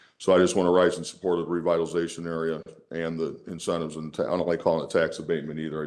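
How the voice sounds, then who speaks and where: Very fast speech with monotone, flat intonation. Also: man. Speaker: union leader speaking at public hearing. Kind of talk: public comment at council hearing. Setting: council chamber.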